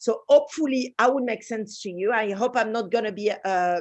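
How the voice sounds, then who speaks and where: A woman at medium pitch with a strong French accent, ordinary pitch variation and a fairly quick pace. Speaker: space researcher and designer. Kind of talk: conference presentation.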